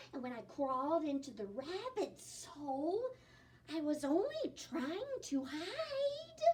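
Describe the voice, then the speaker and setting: Putting on a character voice, a woman speaks very slowly with very wide pitch swings. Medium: read story.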